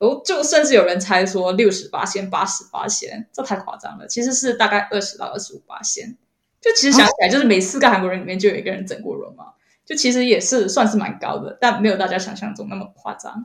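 Somewhat breathy speech races along at a very fast pace, with big swings in loudness and ordinary pitch variation. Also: woman, fairly high pitch for a woman. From Malaysia. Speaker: content creator. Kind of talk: interview. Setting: remote call.

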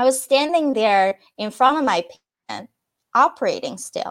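Speaking at a moderate pace with a Chinese accent, a woman's high pitch makes very wide swings. The recording is very clean and the background silent. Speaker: peak performance and wellness coach. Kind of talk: interview.

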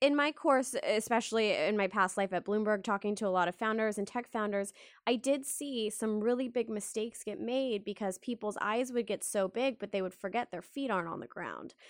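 A woman with an American accent has an unremarkable speaking voice, a fairly high pitch, ordinary pitch variation and a moderate pace, on a very clean recording with a silent background. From Texas, Dallas. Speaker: podcast host. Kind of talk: interview.

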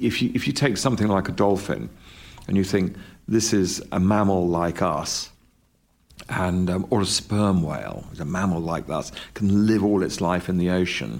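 With a British accent, a man speaks at a moderate pace in a very deep, low pitch with ordinary pitch variation. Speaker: documentary filmmaker. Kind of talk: interview. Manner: halting.

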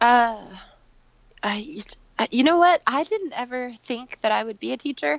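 A woman with an American accent speaks in an animated tone at high pitch with lively intonation. Long pauses come often. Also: moderate pace. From New York City, after early childhood in Korea and Iraq. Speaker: yoga teacher. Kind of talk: casual interview chat. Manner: animated, laughs often.

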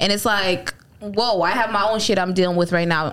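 A woman talks in a normal speaking voice. Her pitch is medium, with ordinary pitch variation. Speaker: podcast host. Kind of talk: casual banter podcast.

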